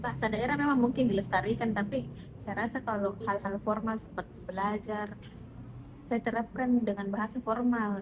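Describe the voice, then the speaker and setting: A woman with a fairly high voice talks at a moderate speed and with normal pitch movement while music plays behind her. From South Sulawesi, Indonesia. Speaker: private tutor, job interview candidate. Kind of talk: job interview (mock).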